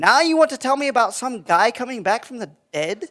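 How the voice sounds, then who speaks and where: A cartoonish character voice pitched fairly high moves along at a fairly quick pace. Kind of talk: puppet show dialogue.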